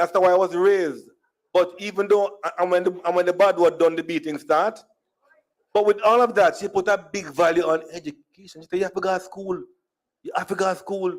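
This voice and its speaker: The speaker uses a Jamaican accent and talks at a fairly quick pace. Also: man, high pitch for a man. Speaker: speaker at diaspora conference, storyteller. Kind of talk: conference talk, humorous personal storytelling. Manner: animated.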